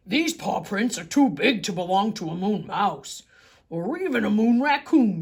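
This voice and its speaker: Someone puts on a character voice, fairly high in pitch, at a moderate pace. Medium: read story.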